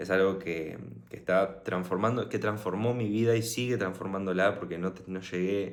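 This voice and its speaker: A man with a Rioplatense accent speaks at a very deep, low pitch with fairly even intonation. Audible room echo surrounds his voice. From Argentina, Buenos Aires. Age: 20s. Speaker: motivational vlogger. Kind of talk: personal story monologue. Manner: casual, hesitant with fillers.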